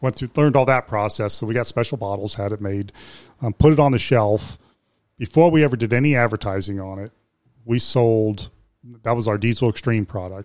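In a normal speaking voice with an American accent, a man speaks at a medium pitch and a fairly quick pace with ordinary pitch variation, on a very clean recording with a silent background. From Ohio, Youngstown. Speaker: business owner. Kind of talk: interview.

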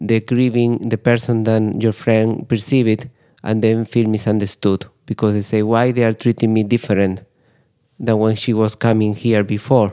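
A man with a Spanish accent speaks at medium pitch and a moderate pace, his dark, mellow tone monotone and flat with very even loudness, in a dry, close sound with no echo. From Spain. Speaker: grief psychotherapist. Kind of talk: interview. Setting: studio.

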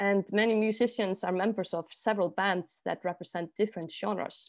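A woman with an Icelandic accent at a fairly quick pace, medium pitch and fairly even intonation, over a quiet background. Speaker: artist and project manager, trained jazz singer. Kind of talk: interview.

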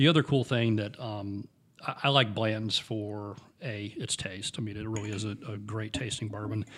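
In a very clean recording with a silent background, a normal speaking voice moves at a moderate pace with fairly even intonation. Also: man, fairly low pitch for a man. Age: 50s. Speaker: podcast co-host, bourbon enthusiast. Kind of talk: casual chat.

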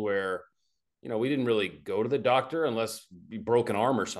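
A man with an American accent and an unremarkable speaking voice, medium in pitch, fairly quick, against a quiet background. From Arkansas, US South. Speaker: naturopathic oncologist. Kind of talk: interview, medical explanation.

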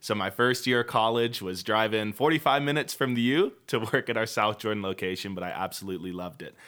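Speaking in a plain, everyday voice, a man talks at a fairly quick pace with fairly low pitch and ordinary pitch variation on a very clean recording with a silent background. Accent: American. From Washington State, Puyallup. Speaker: youth pastor. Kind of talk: casual chat.

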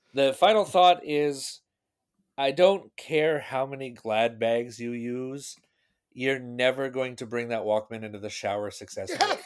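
Over a silent background in a very clean recording, a man with an American accent and a normal speaking voice talks at a medium pitch and fairly slow pace, with ordinary pitch variation and big swings in loudness. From US Pacific Northwest, Seattle. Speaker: podcast guest, tech nerd. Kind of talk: casual chat.

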